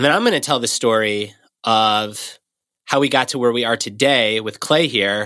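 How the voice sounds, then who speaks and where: Heard in a very clean recording with a silent background, a man with a bright, sharp tone talks at a moderate pace and medium pitch, with ordinary pitch variation. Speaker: podcast co-host. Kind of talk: casual chat.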